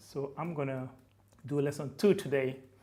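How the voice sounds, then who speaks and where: A man's somewhat breathy voice at a fairly slow pace, with ordinary pitch variation. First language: Fulfulde. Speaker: language teacher, YouTuber. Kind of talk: tutorial. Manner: casual, hesitant with fillers.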